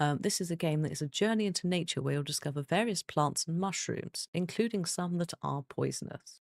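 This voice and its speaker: A soft-spoken woman with a fairly low voice talks at a fairly quick clip, with ordinary pitch movement and hardly any pauses, in a dry, close, echo-free recording that is very clean with a silent background. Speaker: streamer. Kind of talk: gaming live stream. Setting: at home. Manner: soft-spoken, quiet.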